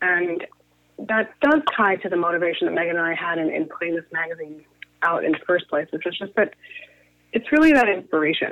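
A woman with a plain, everyday voice, fairly low in pitch, talks at a fairly quick pace with ordinary pitch variation. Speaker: media company co-founder. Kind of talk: interview.

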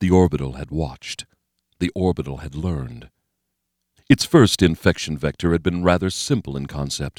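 In a very clean, dry, close recording with no echo and a silent background, a man with a very deep, low pitch talks at a moderate pace, showing ordinary pitch variation and big swings in loudness. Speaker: audiobook narrator. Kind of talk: dramatic audiobook narration, scripted reading of a thriller. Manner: tense, gripping, urgent pacing with vivid, suspenseful delivery; grim, measured, building dread in action scenes.

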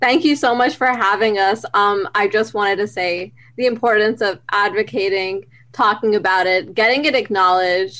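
A bright, sharp tone at a moderate pace, with ordinary pitch variation. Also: woman, medium pitch for a woman. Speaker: university student. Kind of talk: podcast interview.

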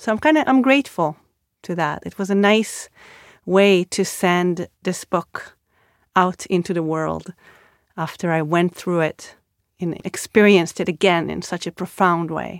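In an Israeli accent, a woman speaks with big swings in loudness and long, frequent pauses, recorded dry and close with no echo on a very clean track with a silent background. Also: ordinary pitch variation, fairly slow pace. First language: Hebrew. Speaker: author. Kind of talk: interview.

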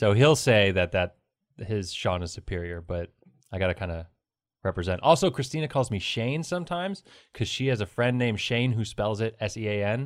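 Talking at a fairly quick pace, a man with a fairly low pitch uses lively intonation on a very clean recording with a silent background. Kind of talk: casual chat. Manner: mumbles, poor enunciation.

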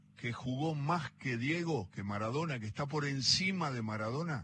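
Here a man speaks with lively intonation. His pitch is fairly high. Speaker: radio host. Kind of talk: interview. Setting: cafe.

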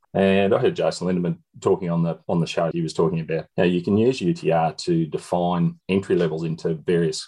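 This is a man speaking with an Australian accent. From Shepparton, regional Victoria, Australia. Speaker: country tennis parent and organiser. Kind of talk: panel discussion.

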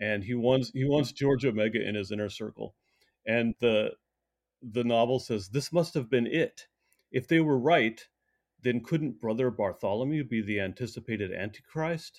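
On a very clean recording with a silent background, a man with an American accent speaks at a moderate pace, medium in pitch with ordinary variation. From US, Colorado (teen years in Colorado Springs). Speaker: essayist and writer. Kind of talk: interview conversation. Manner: halting, frequent repetitions and fillers.

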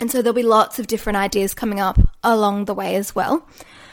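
A woman talks at a fairly quick pace. The recording is very clean with a silent background. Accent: Australian. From Australia. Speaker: podcast host and yoga teacher. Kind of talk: solo podcast monologue.

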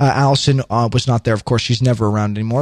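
In an animated tone, a man speaks at a fairly quick pace. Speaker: podcast host. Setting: studio. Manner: animated, showy inflection.

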